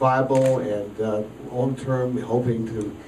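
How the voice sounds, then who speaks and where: A man talks with fairly even intonation, with audible room echo and light background noise. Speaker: politician. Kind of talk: campaign speech. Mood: warm, humorous. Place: hall.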